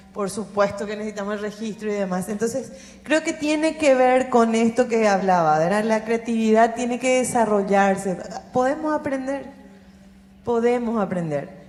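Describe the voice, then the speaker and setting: Here is a normal speaking voice. A woman talks at a moderate pace, her fairly high pitch showing ordinary variation. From Paraguay. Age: 40s. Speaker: youth policy consultant. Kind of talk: panel discussion.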